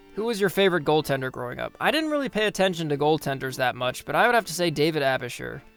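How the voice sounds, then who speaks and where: Music plays in the background as a man talks very fast. His fairly high-pitched voice has lively intonation. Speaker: hockey history YouTuber. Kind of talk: casual Q&A talk to camera.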